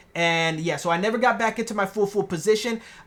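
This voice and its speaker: Delivery is fairly quick, with fairly even intonation. The recording is very clean, its background silent. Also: woman. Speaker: day trader recapping trades. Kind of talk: market recap video. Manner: fast; casual, slangy.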